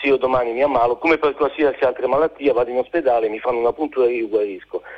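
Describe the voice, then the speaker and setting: A medium-pitched male voice with fairly even intonation. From Genoa, Liguria. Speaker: caller. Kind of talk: phone-in call. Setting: phone call.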